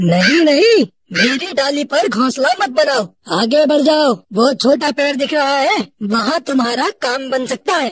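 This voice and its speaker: A cartoonish character voice, high in pitch, at a moderate pace. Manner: kindly, paternal.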